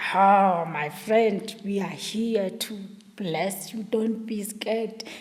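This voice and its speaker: A female-sounding voice, medium in pitch for a woman, performs a put-on character at a very slow pace. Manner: gentle, reassuring.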